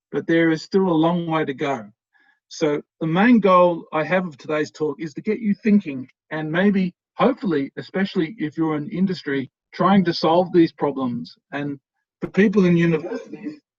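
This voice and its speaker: A man with an Australian accent speaks at a moderate pace, his pitch high with ordinary variation. The sound is dry and close, with no echo. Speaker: professor. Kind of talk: lecture. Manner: hesitant, many fillers.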